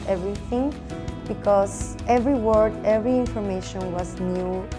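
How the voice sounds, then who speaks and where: A woman with a Mexican accent over clear music in the background. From Mexico. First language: Spanish. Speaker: former teacher and recent MBA graduate. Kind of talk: interview answer. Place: meeting room. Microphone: lapel.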